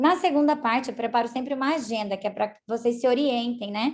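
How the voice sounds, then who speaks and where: A woman speaks at a very fast pace. Her fairly high pitch shows ordinary variation. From Brazil, Paraná. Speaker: university lecturer. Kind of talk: online lecture presentation. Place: home room. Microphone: video call.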